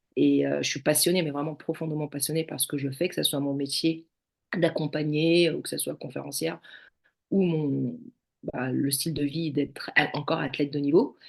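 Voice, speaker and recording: The voice carries vocal fry. Its intonation stays fairly even. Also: woman, very deep, low pitch for a woman, moderate pace. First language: not French (speaking French). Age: 40s. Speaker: judo athlete, former firefighter. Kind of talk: podcast interview. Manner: hesitant, many fillers.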